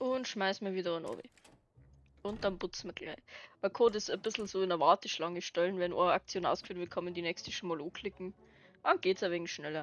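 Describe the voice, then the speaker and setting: With music behind her, a woman with a Bavarian accent speaks at a medium pitch and a moderate pace. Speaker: gaming video creator. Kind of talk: casual let's play commentary.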